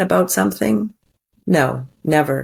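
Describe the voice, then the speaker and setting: A woman speaks with vocal fry. The recording is very clean, with a silent background. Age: 60s. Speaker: divorce recovery coach. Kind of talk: podcast interview.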